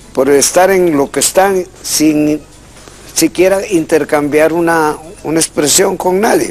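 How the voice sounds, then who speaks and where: The speech moves at a very slow pace, with fairly even intonation and very even loudness. Background noise is noticeable. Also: man, high pitch for a man. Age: 60s. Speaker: language expert. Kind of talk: call-in radio-TV show.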